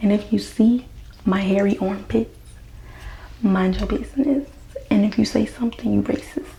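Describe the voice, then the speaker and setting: Amid noticeable background noise, a woman speaks at a moderate pace with very even loudness and long, frequent pauses. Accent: American. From US South. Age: 20s. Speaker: hair care vlogger. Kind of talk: casual tutorial. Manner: casual, chatty.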